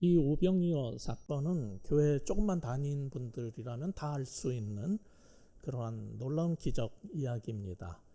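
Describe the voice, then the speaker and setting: Fairly slow and fairly high-pitched, a man speaks in a dark, mellow tone with lively intonation. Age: 60s. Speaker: pastor and professor. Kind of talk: sermon. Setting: church. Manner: hesitant, many fillers.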